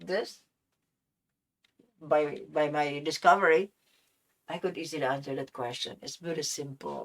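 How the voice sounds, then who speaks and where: Speech moves at a fairly slow pace with long, frequent pauses, big swings in loudness and ordinary pitch variation. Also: woman, very deep, low pitch for a woman. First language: non-English, unnamed. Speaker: science channel host. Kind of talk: solo video monologue.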